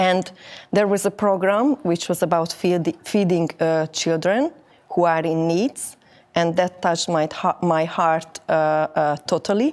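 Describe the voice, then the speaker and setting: A woman's fairly low voice with a Hungarian accent, ordinary pitch variation, a fairly slow pace and very even loudness, on a very clean recording with a silent background. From Hungary. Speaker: network marketing distributor. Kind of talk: interview. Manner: halting.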